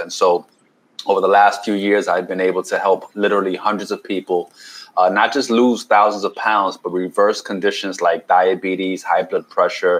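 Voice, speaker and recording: Fairly quick speech from a man with a New York accent. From New York City, Washington Heights. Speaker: keto health coach and chef. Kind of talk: podcast interview.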